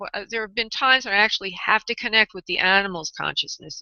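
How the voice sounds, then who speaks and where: A woman's medium-pitched voice with a New York accent. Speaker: psychic medium radio host. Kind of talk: live radio psychic readings. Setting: live radio show with callers. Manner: halting.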